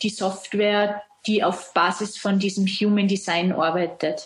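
A woman with an Austrian accent speaks at a medium pitch and a very slow pace, her voice somewhat breathy and her intonation flat and monotone. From Austria, Salzburg. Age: 30s. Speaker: self-employed brand consultant. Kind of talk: interview.

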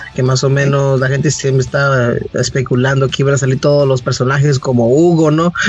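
A fairly high male voice at a fairly quick pace, very even in loudness and monotone and flat, over noticeable background noise. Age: 20s. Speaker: podcast host. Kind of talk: casual chat.

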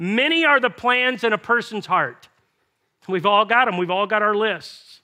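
A man's raised, projected voice, bright and sharp in tone, with lively intonation at a moderate pace. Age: 50s. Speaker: pastor. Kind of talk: sermon.

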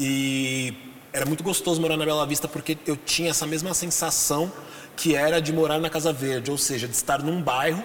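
Against noticeable background noise, a man talks at a fairly quick pace. His pitch is fairly high and his intonation fairly even. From Brazil, São Paulo (Zona Norte). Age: 40s. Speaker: podcast guest discussing masculinity. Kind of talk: casual interview conversation.

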